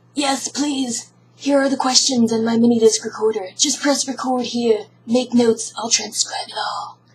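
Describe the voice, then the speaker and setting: A woman does a put-on character voice, raspy and high-pitched, with ordinary pitch variation at a moderate pace. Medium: read story.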